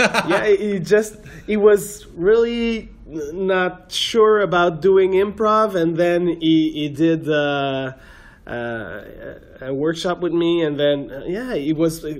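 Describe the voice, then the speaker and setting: This man speaks very slowly with a French accent. His pitch is high for a man, with ordinary pitch variation. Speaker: podcast host, improviser. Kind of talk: casual interview chat. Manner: halting, many filler uhs.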